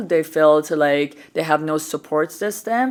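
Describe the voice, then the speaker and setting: A woman with an Iranian accent talks at a very slow pace with lively intonation. The recording is very clean, with a silent background. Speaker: podcast host and entrepreneur. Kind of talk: interview conversation. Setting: on a couch in a studio.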